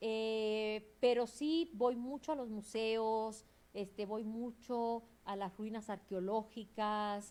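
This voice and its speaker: A woman's fairly high voice, dark and mellow in tone, at a very slow pace. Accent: Cuban. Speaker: museum specialist and curator. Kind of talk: interview.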